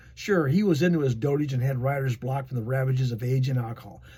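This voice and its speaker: A man's fairly high, somewhat breathy voice at a very fast pace. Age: 70s. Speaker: history channel host. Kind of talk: casual talk with partly read notes. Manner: casual, rambling asides.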